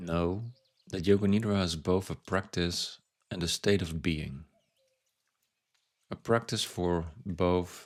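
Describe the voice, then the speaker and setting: Soft-spoken and very slow, a man with a very deep, low voice talks with fairly even intonation and long, frequent pauses. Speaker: meditation guide. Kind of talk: guided yoga nidra body scan. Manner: soft-spoken, slow.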